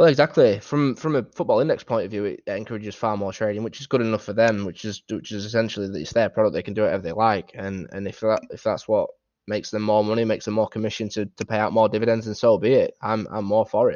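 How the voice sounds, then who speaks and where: With a Yorkshire accent, a man of fairly low pitch rattles along at a very fast pace, hardly pausing, his intonation fairly even. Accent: Yorkshire, northern English. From Doncaster, northern England. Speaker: Football Index trader, guest. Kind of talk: casual interview chat.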